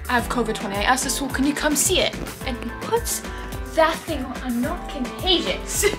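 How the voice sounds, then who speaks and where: Over clear music in the background, a woman talks at a fairly quick pace. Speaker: vlogger. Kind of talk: casual vlog chat.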